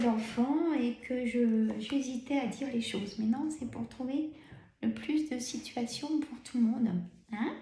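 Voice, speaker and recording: This voice has a dark, mellow tone, ordinary pitch variation and a fairly slow pace. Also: woman. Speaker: tarot card reader. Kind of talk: tarot reading. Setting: filmed video with camera. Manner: many pauses.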